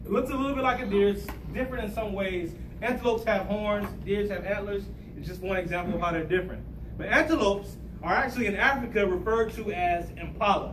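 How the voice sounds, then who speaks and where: A man speaks at a very fast pace in a high pitch. His pitch varies in an ordinary way, and there is noticeable background noise. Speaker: guest. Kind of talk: motivational talk. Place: classroom. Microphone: camera far.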